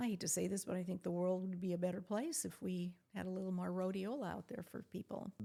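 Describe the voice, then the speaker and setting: At a very fast pace, a woman talks in a medium pitch with a dark, mellow tone. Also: ordinary pitch variation. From US Midwest, South Dakota. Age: 70s. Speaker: physician and entrepreneur. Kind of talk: podcast interview.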